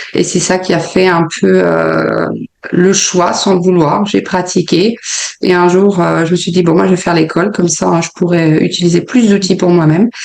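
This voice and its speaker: Over noticeable background noise, a woman speaks at a fairly low pitch. Her intonation is monotone and flat, her loudness very even. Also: moderate pace. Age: 30s. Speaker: sophrologist and yoga teacher. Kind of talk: interview. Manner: hesitant, many filler sounds.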